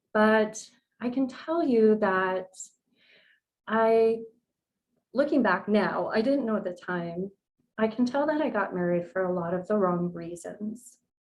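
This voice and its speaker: A woman with a Californian accent, fairly high-pitched, at a fairly slow pace with long, frequent pauses. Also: lively intonation. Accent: General American, Californian. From US West Coast, San Diego, California. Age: 40s. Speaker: nutrition coach. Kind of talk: podcast interview, personal story.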